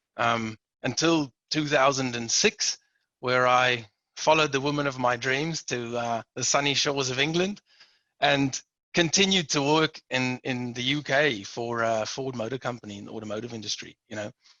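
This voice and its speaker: At a moderate pace, a man with a South African accent talks at a medium pitch with ordinary pitch variation. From South Africa, Port Elizabeth. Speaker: manufacturing director. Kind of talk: interview.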